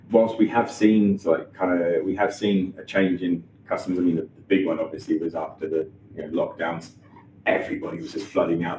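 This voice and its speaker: In a Norfolk accent, a man talks at a moderate pace. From Norfolk, England. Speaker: chef and restaurant owner. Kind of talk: interview answer. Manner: hesitant, casual.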